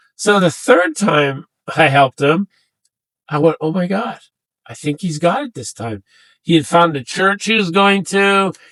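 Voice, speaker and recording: High-pitched and lively in intonation, a man speaks at a fairly slow pace with long, frequent pauses, the sound dry and close with no echo. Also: big swings in loudness. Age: 60s. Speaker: veteran advocate and mover. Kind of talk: interview testimony. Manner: halting, many fillers.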